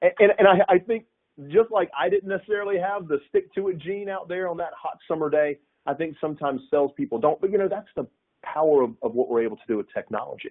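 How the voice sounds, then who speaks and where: With a Southern US accent, a high-pitched man talks at a very fast pace with lively intonation. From US South, north Florida. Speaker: sales executive. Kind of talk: webinar panel discussion. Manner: halting, many repetitions.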